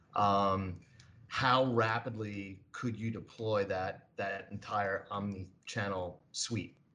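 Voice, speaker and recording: A man speaks at a fairly low pitch with a bright, sharp tone. His intonation is monotone and flat, at a very slow pace. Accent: New York. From New York. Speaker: co-host.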